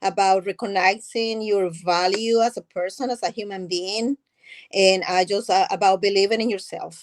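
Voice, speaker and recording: Her medium-pitched voice carrying a strong non-native accent, a woman speaks at a moderate pace with fairly even intonation, the sound dry and close with no echo. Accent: thick foreign. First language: not English. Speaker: nonprofit founder. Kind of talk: interview.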